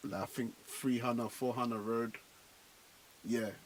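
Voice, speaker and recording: A man with a London accent speaks in a relaxed tone. His pitch sits at a medium level. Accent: London accent, kept unchanged. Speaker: afrobeats artist. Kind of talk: radio interview. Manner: casual, relaxed.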